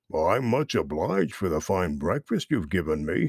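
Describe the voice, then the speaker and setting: A man does a put-on, rumbling character voice with a very deep, low pitch at a moderate pace on a very clean recording with a silent background. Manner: gruff.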